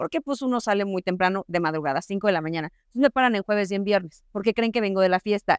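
A woman's voice with ordinary pitch variation, a dry sound with no echo, and a quiet background. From Coahuila, Mexico. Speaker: TV news presenter. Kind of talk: panel discussion. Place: hall.

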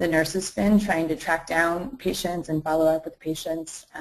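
A woman with an unremarkable speaking voice, fairly low in pitch, at a moderate pace. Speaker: master's student and health startup co-founder; webinar panelist. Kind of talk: webinar presentation and panel discussion. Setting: live online webinar. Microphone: video call.

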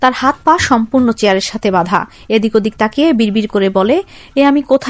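A natural voice reading aloud

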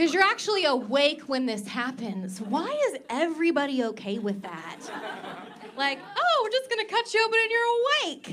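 A woman's raised, projected voice comes at a fairly quick pace with very wide pitch swings. Light background noise sits behind her. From Oklahoma. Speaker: stand-up comedian. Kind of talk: stand-up. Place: stage. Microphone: handheld.

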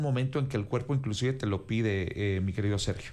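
A man talks, his pitch shifting in an ordinary way. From Mexico. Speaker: news anchor. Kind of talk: panel discussion. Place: studio. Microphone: studio mic.

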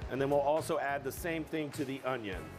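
Faint music in the background accompanies a man talking. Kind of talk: cooking tutorial. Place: kitchen.

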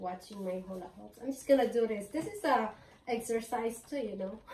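A woman's pitch varies in an ordinary way, with audible room echo around her. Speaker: home vlogger. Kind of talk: casual vlog chat. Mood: cheerful, laughing often. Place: home room. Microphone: camera far.

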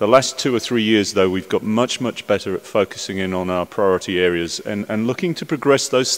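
A man talks at a moderate pace with ordinary pitch variation. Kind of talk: conference speech. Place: hall. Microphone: podium.

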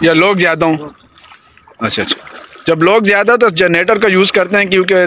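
A man's voice with ordinary pitch variation, recorded dry with no echo over light background noise. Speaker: vlogger. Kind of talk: casual vlog chat. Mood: nervous but amused. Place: boat. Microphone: phone near.

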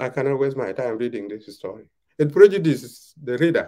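A man speaks with a South Sudanese accent and a dark, mellow tone. The background is quiet. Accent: South Sudanese (Dinka) English. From South Sudan, Twic East (Jonglei). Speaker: veteran journalist and author. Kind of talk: interview. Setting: video call. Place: home room. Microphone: video call.

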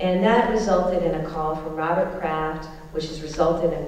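A woman speaks at a moderate pace with fairly even intonation. There is strong room echo and light background noise. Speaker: speaker. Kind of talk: public speech. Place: hall.

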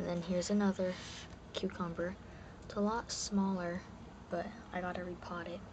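A man whispers with long, frequent pauses over noticeable background noise. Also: moderate pace. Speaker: home gardener. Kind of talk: casual talk to camera. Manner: whispered. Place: garden. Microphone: phone near.

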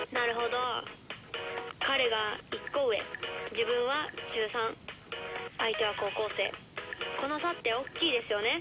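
Noticeable background noise sits behind a woman speaking at a moderate pace. She takes long, frequent pauses. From Kansai, Japan. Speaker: radio host. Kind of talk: radio advice talk. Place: studio.

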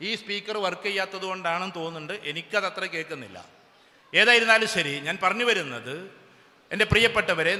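A man's raised, projected voice with ordinary pitch variation over noticeable background noise. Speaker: motivational speaker. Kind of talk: public speech. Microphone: sound problem with speaker system.

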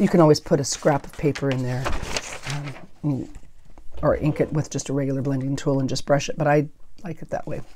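Over light background noise, a woman speaks with a very deep, low pitch and fairly even intonation. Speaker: paper craft YouTuber. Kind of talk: crafting tutorial. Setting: home craft room with clip-on microphone. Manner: mumbles at times; casual, rambling. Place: home room.

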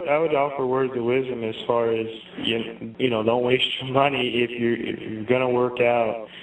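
Over noticeable background noise, a man speaks at a moderate pace and a medium pitch, his intonation monotone and flat. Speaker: guest, scientist and health practitioner. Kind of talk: interview.

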